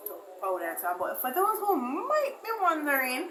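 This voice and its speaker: There is audible room echo and noticeable background noise as a woman talks with ordinary pitch variation. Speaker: beauty vlogger. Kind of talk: makeup tutorial. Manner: fast.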